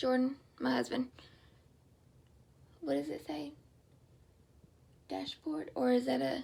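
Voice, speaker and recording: Speaking fairly slowly, a woman talks in a Southern US accent. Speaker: stroke survivor vlogger. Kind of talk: personal testimony. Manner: halting.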